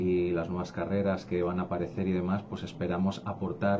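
There is noticeable background noise. A man speaks in a monotone, flat way with a very deep, low pitch. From Spain. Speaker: education company director; guest. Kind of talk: radio interview. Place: studio.

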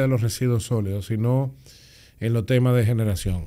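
Against a quiet background, a dark, mellow voice speaks at a moderate pace. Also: man. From Dominican Republic. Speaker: public official; podcast guest. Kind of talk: interview. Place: studio. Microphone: studio mic.

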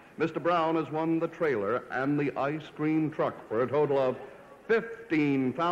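Fairly high-pitched for a man, he talks at a fairly slow pace with ordinary pitch variation and very even loudness. Background noise is noticeable. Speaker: announcer. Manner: crisp, formal, rich and glossy, with elegant enunciation of luxury items.

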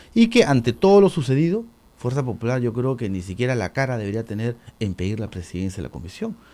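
A man's very fast, lively voice, medium in pitch with a dark, mellow tone, on a very clean recording with a silent background. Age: 40s. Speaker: congressman. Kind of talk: radio interview.

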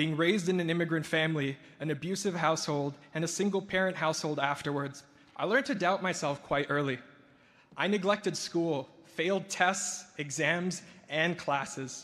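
This man's voice sits high in pitch, with ordinary pitch variation. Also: moderate pace. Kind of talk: ceremony speech. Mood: reflective, warm, lightly humorous. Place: hall. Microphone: podium.

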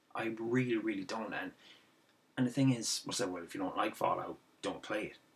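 A man with an Irish accent talks at a fairly quick pace. He leaves long, frequent pauses, with music playing in the background. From Ireland. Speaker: gaming video commentator. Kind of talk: angry rant about games media coverage. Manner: exasperated, repetitive ranting with sarcastic asides; halting, filler-heavy, restarts sentences. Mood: frustrated, ranting. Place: home room. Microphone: webcam.

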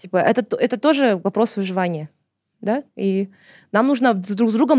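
Delivered at a fairly quick pace, the voice has lively intonation and a dark, mellow tone, with a dry, close sound, no echo, a very clean recording and a silent background. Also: woman. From Kazakhstan, outside Almaty. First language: Kazakh (speaking Russian). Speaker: journalist, activist and screenwriter. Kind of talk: casual interview chat.

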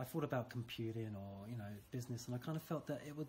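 A man with a British accent talks at a very fast pace. His voice is somewhat breathy, over light background noise. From UK. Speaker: school teacher. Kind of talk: interview. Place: classroom. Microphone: phone near.

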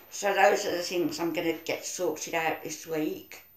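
A woman at a fairly slow pace, with audible room echo. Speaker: video diarist. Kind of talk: casual vlog chat. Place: home room. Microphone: phone near.

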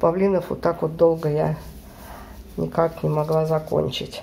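This woman's voice is very deep and low in pitch. She speaks at a moderate pace. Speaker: embroidery vlogger and mother. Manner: casual, conversational.

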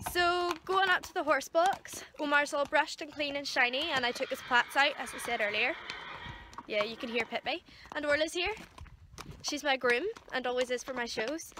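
A woman speaks in a raised, projected voice with ordinary pitch variation. Noticeable background noise runs underneath. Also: moderate pace, dry sound with no echo. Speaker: horse rider vlogger. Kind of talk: casual vlog chat. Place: farm machine. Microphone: phone near.

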